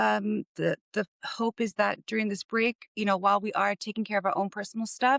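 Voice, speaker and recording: With hardly any pauses, a woman talks at a moderate pace in a dry, close sound with no echo. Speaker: podcast co-host, mother. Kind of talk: casual chat. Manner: halting, thinks mid-sentence.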